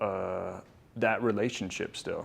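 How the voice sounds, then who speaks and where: A man's fairly low voice carries through audible room echo. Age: 20s. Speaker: artist. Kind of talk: artist talk. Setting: gallery with live audience. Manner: halting, many fillers.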